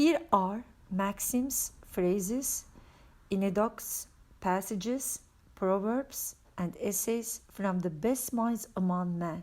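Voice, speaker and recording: A woman with a non-native accent speaks at a very slow pace and a medium pitch, with ordinary pitch variation. The recording is very clean, with a silent background. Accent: foreign accent, self-noted. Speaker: religious book reader. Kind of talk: reading aloud. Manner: occasional stumbles on words.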